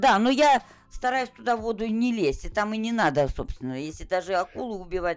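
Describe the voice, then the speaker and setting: A woman speaks at a fairly quick pace in a fairly high pitch. Her pitch swings very widely. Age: 60s. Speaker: retired gamer grandmother. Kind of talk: casual chat.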